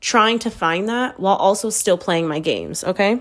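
An American woman speaks at a moderate pace in a medium pitch with an animated tone. The recording is very clean, with a silent background. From US West Coast. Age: 30s. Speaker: podcast host. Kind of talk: casual monologue.

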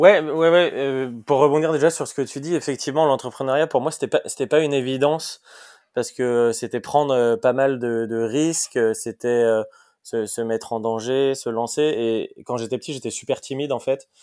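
A man's medium-pitched voice at a moderate pace, with ordinary pitch variation, in a very clean recording with a silent background. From France, Lyon. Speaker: startup co-founder and CEO. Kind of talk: interview. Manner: hesitant, many repetitions.

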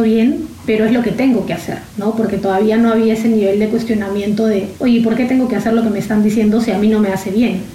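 Against noticeable background noise, a woman speaks fairly quickly in a fairly high, flat monotone. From Peru, Lima. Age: 30s. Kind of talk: interview testimony. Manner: halting, frequent repetitions.

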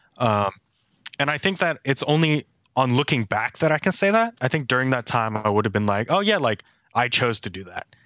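This man has a plain, everyday voice, medium pitch and an American accent. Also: fairly quick pace. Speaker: church staff member. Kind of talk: casual chat.

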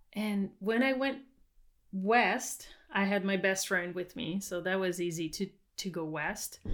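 This is a woman speaking. Her voice carries a French accent. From Quebec. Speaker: farmer and winemaker. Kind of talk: casual interview chat.

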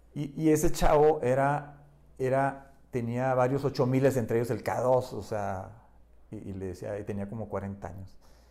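A man with a dark, mellow tone talks at a fairly slow pace, at medium pitch with ordinary pitch variation. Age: 60s. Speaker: adventurer and photographer. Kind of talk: casual chat. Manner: halting.

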